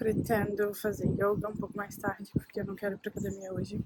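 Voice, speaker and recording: A woman at a medium pitch and fairly quick pace, with noticeable background noise. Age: 20s. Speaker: lifestyle vlogger. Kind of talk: casual vlog talk to camera. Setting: outdoors.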